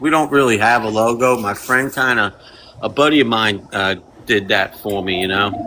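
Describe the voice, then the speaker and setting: Over noticeable background noise, a man with a Kentucky accent talks at a moderate pace and medium pitch, with ordinary pitch variation. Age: 50s. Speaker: mechanic and free pizza charity organizer. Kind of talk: casual chat.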